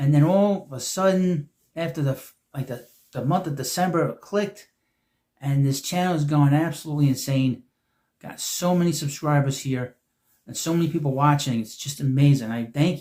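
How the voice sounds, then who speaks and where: A man's fairly high voice with a dark, mellow tone and a somewhat breathy quality. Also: ordinary pitch variation, moderate pace. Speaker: YouTube sports media commentator. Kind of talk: casual monologue video. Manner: halting, self-correcting.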